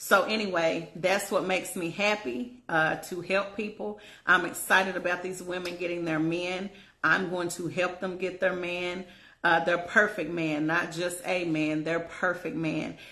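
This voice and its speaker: Her tone bright and sharp, a woman with a fairly low pitch speaks at a fairly slow pace in a room with audible echo. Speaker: relationship coach. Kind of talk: casual vlog monologue. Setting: at home in bed. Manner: animated.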